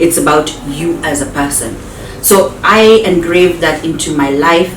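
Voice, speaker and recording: A woman's very deep, low voice at a fairly slow pace, with audible room echo and noticeable background noise. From Kenya, Luanda, Western. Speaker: actress. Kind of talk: interview.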